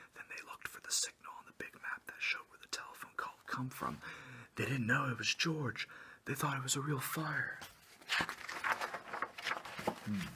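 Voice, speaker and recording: Over noticeable background noise, the speaker keeps a relaxed tone at a moderate pace. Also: man. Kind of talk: children's story read aloud, with joking asides. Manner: casual, relaxed, whispery.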